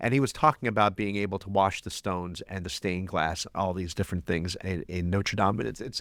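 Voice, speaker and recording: A man speaks in an unremarkable speaking voice, fairly low in pitch and at a fairly quick pace with hardly any pauses. The recording is very clean, with a silent background. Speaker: podcast co-host, journalist. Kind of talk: podcast conversation.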